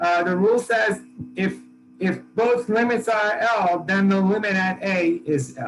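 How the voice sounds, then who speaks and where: With music playing behind him, a man speaks at a fairly slow pace with lively intonation. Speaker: math professor. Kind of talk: lecture. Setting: classroom with students. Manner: casual, halting with fillers.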